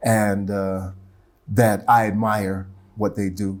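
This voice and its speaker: This man speaks with an American accent in a fairly low pitch. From US Midwest (Ohio). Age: 60s. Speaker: poet and teacher. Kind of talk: interview. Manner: halting.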